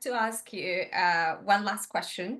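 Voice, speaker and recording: Speaking very slowly with a non-native accent, a woman uses a bright, sharp tone at a medium pitch with ordinary pitch variation. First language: not English. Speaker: podcast host. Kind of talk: interview.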